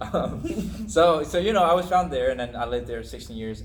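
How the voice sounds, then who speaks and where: A man with a Chinese accent at a moderate pace, with audible room echo. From China. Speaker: missionary. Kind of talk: casual chat. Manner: halting, repeats words.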